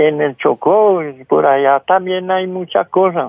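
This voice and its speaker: This man talks with ordinary pitch variation. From rural Colombia. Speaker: caller, farmer. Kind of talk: phone-in storytelling. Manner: halting.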